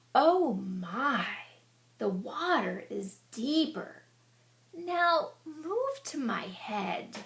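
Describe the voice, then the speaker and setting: In a raised, projected, put-on character voice, a woman speaks at a high pitch and a very slow pace, with very wide pitch swings. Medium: read story. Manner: crooning, sly.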